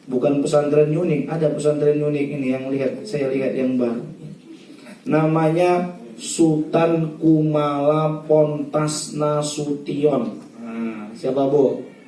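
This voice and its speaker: A man's fairly high voice at a very slow pace, with ordinary pitch variation, audible room echo and noticeable background noise. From North Sumatra, Indonesia (Batak region). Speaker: Islamic preacher. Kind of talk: religious wedding sermon.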